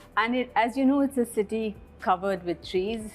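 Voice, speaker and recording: Over music in the background, a woman with an Indian accent speaks at a moderate pace with ordinary pitch variation. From India, Bangalore. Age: 60s. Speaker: school principal. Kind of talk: interview.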